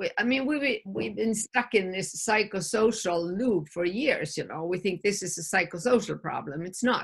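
Against a quiet background, a woman talks in a somewhat breathy voice with lively intonation. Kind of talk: interview answer. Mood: earnest, emphatic. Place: home room. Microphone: video call.

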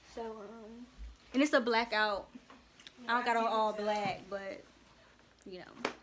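Light background noise sits behind this woman's voice. She speaks fairly slowly at a fairly high pitch. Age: young. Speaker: college student. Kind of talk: casual vlog talk. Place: home room. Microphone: phone near.

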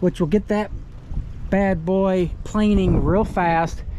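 Over light background noise, a man talks fairly slowly with ordinary pitch variation in a dry sound with no echo. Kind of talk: casual walkthrough tour commentary. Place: boat. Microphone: phone near.

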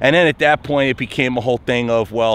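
Recorded with a dry sound and no echo, a man talks at a very fast pace. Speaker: truck driver vlogger. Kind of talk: casual vlog chat. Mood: mildly exasperated storytelling. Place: street. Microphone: phone near.

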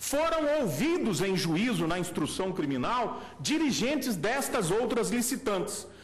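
Very even in loudness, a man with a high pitch speaks at a fairly slow pace, with very wide pitch swings. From Brazil, Minas Gerais. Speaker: defense lawyer. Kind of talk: courtroom oral argument. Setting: supreme court plenary, speaking from the rostrum. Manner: formal. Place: hall. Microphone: podium.

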